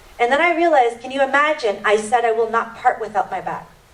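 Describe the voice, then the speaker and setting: A woman with a fairly high pitch talks at a very fast pace with lively intonation over noticeable background noise. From Indian family background. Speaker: panel speaker and radio/TV show host. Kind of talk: panel talk. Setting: church hall with audience.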